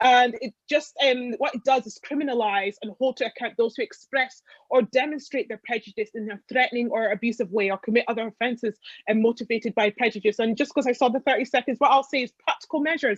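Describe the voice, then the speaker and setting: Against a quiet background, a woman talks at a very fast pace. Her pitch is high. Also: ordinary pitch variation, dry, close sound with no echo. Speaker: election candidate. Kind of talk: political hustings. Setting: online video call. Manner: animated.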